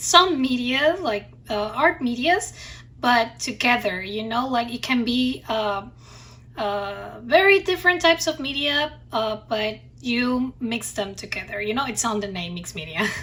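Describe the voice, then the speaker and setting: A woman with a non-native accent, a high pitch, a bright, sharp tone, lively intonation and a fairly slow pace. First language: not English. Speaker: craft and art youtuber. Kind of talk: tutorial. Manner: halting, many fillers.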